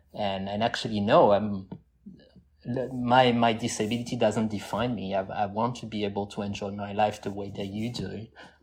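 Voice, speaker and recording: A man speaks with a French accent at a fairly low pitch. His pace is moderate and his intonation monotone and flat. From southwest France (Toulouse area). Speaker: scuba diver and AI engineer. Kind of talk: casual interview chat.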